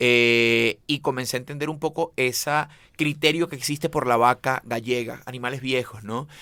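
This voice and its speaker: A man with a Venezuelan accent, medium pitch, a bright, sharp tone and a moderate pace. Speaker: chef. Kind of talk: interview conversation. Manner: animated; halting, repeats words.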